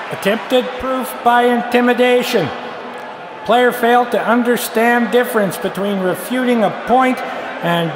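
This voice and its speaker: Over noticeable background noise, a man speaks in a deadpan tone at an extremely high pitch, keeping his intonation fairly even. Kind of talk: sports referee parody, deadpan announcing of argument-fallacy penalties. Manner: deadpan, formal referee cadence with stock 'on the field' call-outs; halting, filler 'uh' before calls, flares into exasperation on one line.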